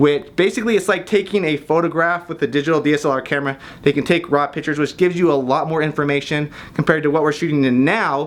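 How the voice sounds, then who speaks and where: Very fast talking from a man, fairly high in pitch. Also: ordinary pitch variation. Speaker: filmmaker and YouTuber. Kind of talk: tutorial.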